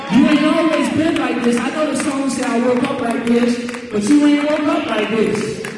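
Amid noticeable background noise and strong room echo, a man with an extremely high pitch talks at a moderate pace with hardly any pauses and ordinary pitch variation. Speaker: preacher. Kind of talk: sermon. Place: church.

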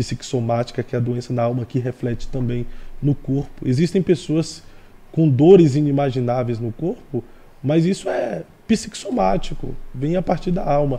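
A man speaks at a fairly slow pace with a medium pitch and a dark, mellow tone. His delivery is somewhat breathy, with lively intonation. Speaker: podcast host; pastor guest. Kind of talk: interview; interview answer. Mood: earnest, preaching tone. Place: studio. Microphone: studio mic.

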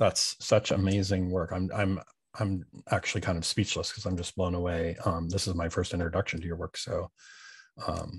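The man's voice is low with a slightly husky edge. He shows little pitch movement and keeps a moderate pace.

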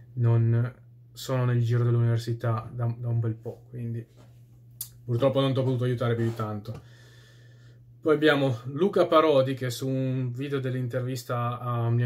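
A man talks at a fairly quick pace in a monotone, flat intonation, leaving long, frequent pauses. His voice is somewhat breathy. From Italy. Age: 30s. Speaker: YouTuber answering viewer comments. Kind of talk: casual monologue. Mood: opinionated, at times scornful. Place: home room. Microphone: phone near.

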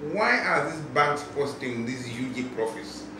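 A man's voice carries audible room echo along with noticeable background noise. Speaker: consumer rights advocate. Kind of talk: interview. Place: office.

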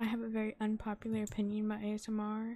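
A woman is whispering at a fairly quick pace. Her voice comes out somewhat breathy. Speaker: gaming youtuber. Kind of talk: gameplay commentary.

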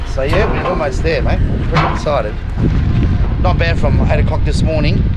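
Loud background noise sits behind a man speaking fairly quickly. The sound is dry, with no echo. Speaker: fishing vlogger. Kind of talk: casual vlog chat. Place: street. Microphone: phone near.

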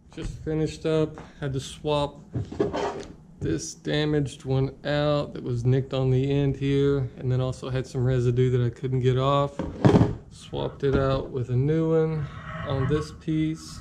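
Over loud background noise, a man talks at a fairly slow pace with ordinary pitch variation. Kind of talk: casual build walkthrough. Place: garage. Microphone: phone near.

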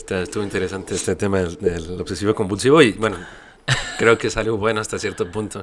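Over light background noise, a man speaks at a very fast pace with a fairly low pitch and ordinary pitch variation. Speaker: podcast host. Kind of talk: interview. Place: studio. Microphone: studio mic.

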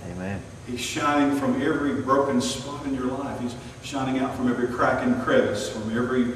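A man talks at a fairly quick pace with fairly even intonation, in strong room echo over light background noise. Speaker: preacher. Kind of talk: sermon. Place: church.

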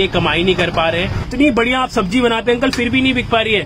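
A man talks at a fairly quick pace, his pitch varying in an ordinary way, with noticeable background noise behind him. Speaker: food vlogger. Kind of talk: casual talk to camera. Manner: excited. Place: street. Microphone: phone near.

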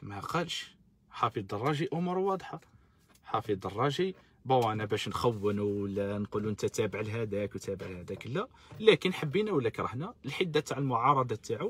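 Dry with no echo, a man's somewhat breathy voice moves at a moderate pace with very wide pitch swings. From Algeria. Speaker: political activist live-streamer. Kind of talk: live-stream political commentary. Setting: live stream on social media. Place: car. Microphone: phone near.

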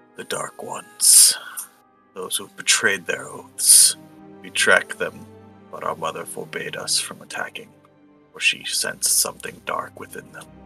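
In a put-on character voice, a man growls at an extremely high pitch and a moderate pace, with long, frequent pauses and faint music behind him. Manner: grave, solemn.

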